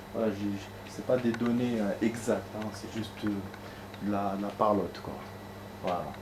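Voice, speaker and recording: Noticeable background noise and audible room echo fill the recording. A man speaks at a moderate pace, his fairly low pitch flat and monotone. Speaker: gaming streamer. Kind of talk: casual chat. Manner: halting.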